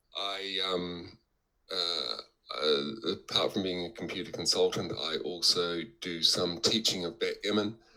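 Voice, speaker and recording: In a New Zealand accent, a man speaks fairly slowly with a very deep, low pitch and a bright, sharp tone. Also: ordinary pitch variation. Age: 60s. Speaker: backgammon player and teacher. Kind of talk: interview. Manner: halting, many fillers.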